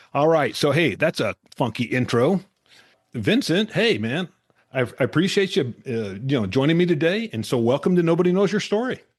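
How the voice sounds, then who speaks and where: A man with vocal fry speaks at a moderate pace and a fairly high pitch. His pitch swings very widely over a quiet background. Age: 70s. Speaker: podcast host. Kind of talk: interview. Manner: casual, with filler words.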